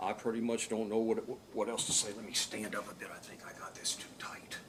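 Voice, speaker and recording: A man whispers with an American accent and big swings in loudness. Noticeable background noise and audible room echo fill the recording. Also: fairly quick pace. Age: 60s. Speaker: defendant testifying in court. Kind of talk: courtroom testimony. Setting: courtroom witness stand. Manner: halting, stuttering.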